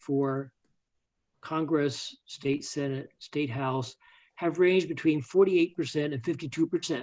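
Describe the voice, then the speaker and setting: The man's voice is fairly high in pitch. His intonation stays fairly even. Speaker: political candidate, lawyer. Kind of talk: campaign statement in online meeting. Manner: fast.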